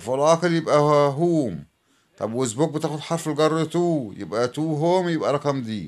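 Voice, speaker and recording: The speaker has an Egyptian accent, ordinary pitch variation and a moderate pace. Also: man, fairly high pitch for a man. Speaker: English teacher. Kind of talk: tutorial.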